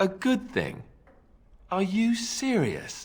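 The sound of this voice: A man puts on a character voice, pitched high. He speaks at a slow pace with very wide pitch swings.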